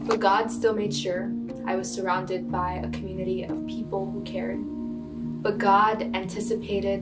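A woman's voice with loud music in the background. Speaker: spoken word poet. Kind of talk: spoken word poetry performance. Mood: earnest, emotional, reflective. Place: home room.

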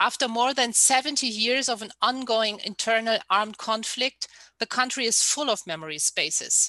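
Over a quiet background, a woman talks at a moderate pace with a fairly high pitch, ordinary pitch variation, a bright, sharp tone, and a dry sound with no echo. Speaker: researcher; panelist. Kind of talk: lecture. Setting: video call.

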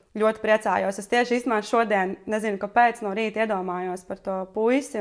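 A woman speaks in a plain, everyday voice, pitched fairly high. Her intonation stays fairly even, and the background is quiet. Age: 30s. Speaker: friend of the host. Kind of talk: casual chat. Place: home room.

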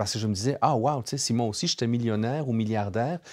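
A dark, mellow tone with ordinary pitch variation over a quiet background. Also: man. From Europe near Germany. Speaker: co-host, neuroscientist; co-host. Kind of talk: panel discussion. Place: studio.

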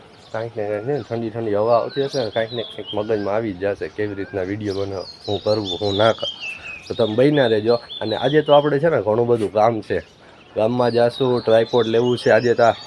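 Noticeable background noise accompanies a man whose medium pitch and fairly even intonation carry his words. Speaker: vlogger. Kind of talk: casual vlog. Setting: outdoors on a rooftop.

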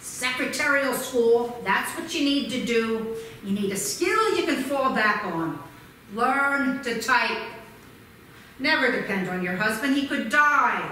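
A woman speaks in a high voice at a fairly slow pace. Light background noise and audible room echo are present. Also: lively intonation. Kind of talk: theatrical storytelling monologue with character voices. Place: stage.

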